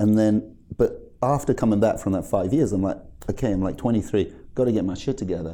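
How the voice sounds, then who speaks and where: A man's fairly low, dark, mellow voice with a British accent, fairly quick pace and ordinary pitch variation. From UK. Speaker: cannabis brand founder. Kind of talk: interview.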